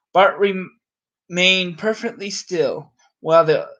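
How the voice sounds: Against a quiet background, a natural reading voice moves through ordinary pitch variation.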